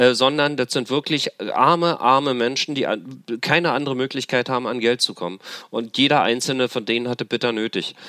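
Bright, sharp male voice at a fairly quick pace with ordinary pitch variation, dry and close with no echo, on a very clean recording with a silent background. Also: medium pitch for a man. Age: 50s. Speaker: formerly homeless man, street worker. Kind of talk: interview testimony.

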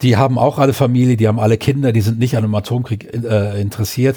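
Very fast and somewhat breathy, a man's medium-pitched voice has a dark, mellow tone and fairly even intonation, on a very clean recording with a silent background. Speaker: podcast co-host. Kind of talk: casual chat.

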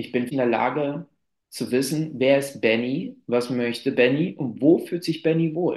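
A man with a plain, everyday voice, fairly high in pitch, at a fairly slow pace with ordinary pitch variation. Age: 30s. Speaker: climbing therapist. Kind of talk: interview.

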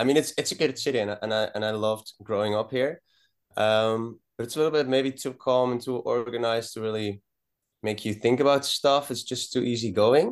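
A man with a Dutch accent at medium pitch, fairly quick and fairly even in intonation, against a quiet background. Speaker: rock band musician. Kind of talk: casual interview. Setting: video call.

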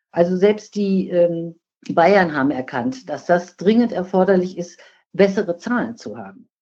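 Speaking at a fairly slow pace, a woman uses lively intonation in a dark, mellow tone at a medium pitch. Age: 60s. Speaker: nursing scientist and professional association president. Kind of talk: podcast interview.

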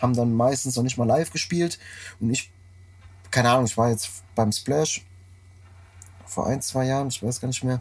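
A man's somewhat breathy voice at a moderate pace, with ordinary pitch variation and long, frequent pauses. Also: medium pitch for a man. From Frankfurt, Germany. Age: 30s. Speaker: tour manager. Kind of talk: casual chat. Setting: tour bus.

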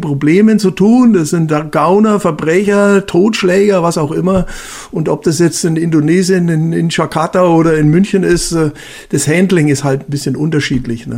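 A man's high-pitched voice at a moderate pace with ordinary pitch variation, over noticeable background noise. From Bavaria. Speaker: retired police officer. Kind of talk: casual chat.

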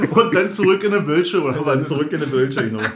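Over noticeable background noise and audible room echo, a man speaks at a very fast pace with lively intonation. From Berlin, Germany. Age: 40s. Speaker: podcast host. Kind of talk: casual chat. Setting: studio.

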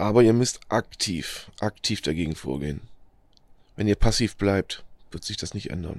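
A man talks at a moderate pace and fairly low pitch, with big swings in loudness and long, frequent pauses. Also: ordinary pitch variation. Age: 40s. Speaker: podcaster sharing experience with depression. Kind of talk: motivational monologue. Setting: outdoors in nature. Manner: halting, many fillers.

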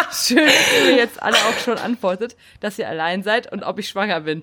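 Speaking at a moderate pace with lively intonation, a woman uses a normal speaking voice pitched fairly high. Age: 30s. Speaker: podcast co-host. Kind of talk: casual chat.

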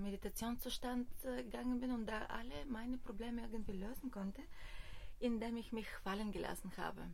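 At a moderate pace, a woman with a Bulgarian accent speaks somewhat breathily at a fairly high pitch, her intonation fairly even, with audible room echo. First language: Bulgarian (speaking German). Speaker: hiking tour organiser. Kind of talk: interview. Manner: halting.

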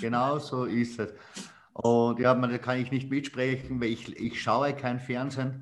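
Speaking at a very slow pace, a man holds a medium pitch with fairly even intonation. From Styria, Austria. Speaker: sales trainer. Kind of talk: casual chat.

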